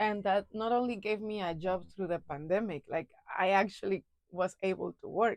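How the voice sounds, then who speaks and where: This voice has an American accent and ordinary pitch variation at a moderate pace. The sound is dry and close, with no echo. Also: woman, medium pitch for a woman. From Mexico (Acapulco). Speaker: actress. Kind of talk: casual interview chat. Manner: hesitant, many fillers and repeats.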